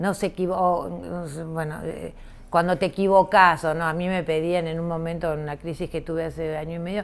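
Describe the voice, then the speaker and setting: Her voice sits fairly low. The woman talks at a fairly quick clip. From Argentina, Rosario. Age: 60s. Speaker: visual artist. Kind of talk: interview conversation. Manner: halting, many fillers.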